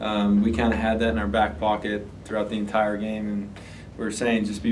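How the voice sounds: In a room with audible echo, a man speaks at a moderate pace in a fairly low pitch with monotone, flat intonation.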